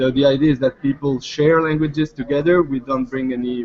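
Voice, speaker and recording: A man with a French accent and fairly even intonation, over noticeable background noise. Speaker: startup founder. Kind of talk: startup pitch Q&A. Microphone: line cutting out.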